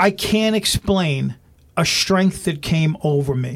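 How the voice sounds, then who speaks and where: In a New York accent, the speech moves at a very slow pace. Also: man. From New York (Brooklyn, then Long Island). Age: 50s. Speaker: stand-up comedian. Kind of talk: casual interview chat.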